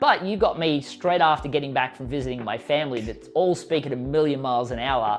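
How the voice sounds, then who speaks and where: Against music in the background, a man with an Australian accent talks at a fairly quick pace with hardly any pauses. His pitch is fairly high, with ordinary variation. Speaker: author and business coach. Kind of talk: interview. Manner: fast; animated.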